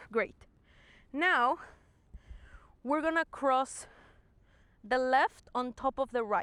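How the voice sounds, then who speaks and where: A woman with a high pitch and a bright, sharp tone speaks at a very slow pace, with long, frequent pauses, very even loudness and ordinary pitch variation. Her calm tone comes through in a dry, close sound with no echo. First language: not English. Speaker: movement and fitness instructor. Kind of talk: guided exercise class. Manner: calm, encouraging instruction.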